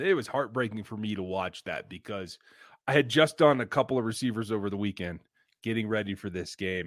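An unremarkable speaking voice moves at a fairly quick pace with lively intonation, recorded very cleanly against a silent background. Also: man. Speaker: podcast co-host. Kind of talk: casual sports podcast chat.

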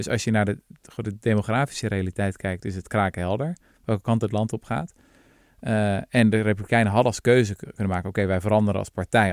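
At a very fast pace, a man with a fairly low pitch and ordinary pitch variation speaks on a very clean recording with a silent background. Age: 30s. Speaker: podcast host, historian. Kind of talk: casual chat.

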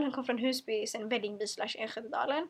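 A woman speaks very fast in a high voice. Her tone is animated. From Sweden, Stockholm suburbs. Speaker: podcast host. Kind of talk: casual monologue. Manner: stumbles over words.

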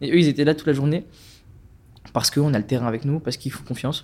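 The recording is very clean, with a silent background. A man speaks at a fairly high pitch with a dark, mellow tone. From France, Strasbourg. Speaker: climate activist. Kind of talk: casual chat.

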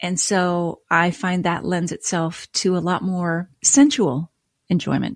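A woman with a Canadian accent speaks at a medium pitch in a somewhat breathy voice, recorded very cleanly with a silent background and a dry, close sound with no echo. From Nova Scotia, Canada. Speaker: wine writer and podcast host. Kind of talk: casual interview chat.

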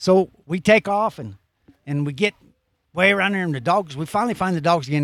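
A man speaks in a plain, everyday voice at a fairly quick pace with lively intonation, recorded dry and close with no echo, very clean against a silent background. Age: 60s. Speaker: veteran bear hunter with hounds. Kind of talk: casual storytelling chat. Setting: outdoors at a campsite.

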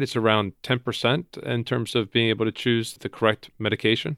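Speaking at a fairly quick pace, a man has a plain, everyday voice with a fairly low pitch. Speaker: podcast host. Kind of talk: interview.

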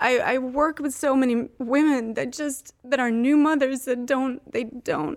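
A woman with a high pitch talks at a fairly slow pace, with hardly any pauses. Her intonation stays fairly even. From Sweden, Uppsala. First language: Swedish. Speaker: actress and entrepreneur. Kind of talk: casual chat.

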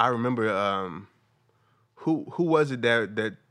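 A man talks with an American accent over a quiet background. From New Jersey. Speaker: comedian. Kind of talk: casual chat.

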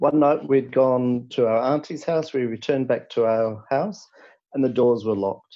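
A man speaks with an Australian accent at a moderate pace. His pitch sits in the medium range. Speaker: caller. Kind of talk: storytelling. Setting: phone call.

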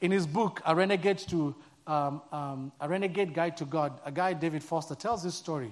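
A man with a Kenyan accent speaks at a fairly high pitch in a warm, relaxed tone with ordinary pitch variation, the background quiet. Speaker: church staff member, guest preacher. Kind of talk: sermon. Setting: church with live audience. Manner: warm, humorous, relaxed.

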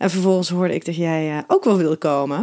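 The recording is very clean, its background silent. A woman talks in a dark, mellow tone. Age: 30s. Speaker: podcast host and relationship therapist. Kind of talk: interview.

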